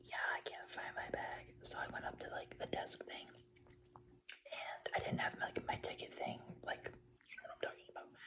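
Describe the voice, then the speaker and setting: A man whispering with an American accent, moderate pace, big swings in loudness, and noticeable background noise. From Buffalo, New York, USA. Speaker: ASMR creator. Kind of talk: casual ramble to camera, ASMR life update. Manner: relaxed, rambling, filler-heavy.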